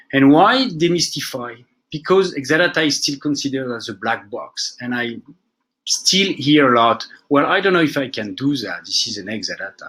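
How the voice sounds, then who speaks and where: A man's fairly high, bright, sharp voice in a French accent, at a moderate pace with lively intonation and big swings in loudness. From France. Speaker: database administrator. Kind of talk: technical conference talk. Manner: casual, with fillers.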